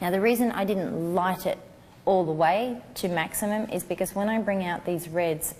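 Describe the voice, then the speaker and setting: A woman is speaking at a fairly quick pace. Her pitch varies in an ordinary way. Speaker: newborn photographer teaching a class. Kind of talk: tutorial. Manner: soft-spoken.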